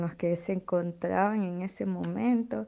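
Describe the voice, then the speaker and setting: This woman's voice has a dark, mellow tone and fairly low pitch. She talks at a fairly slow pace. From Nicaragua, Estelí. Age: 20s. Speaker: theatre artist and activist. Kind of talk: interview testimony.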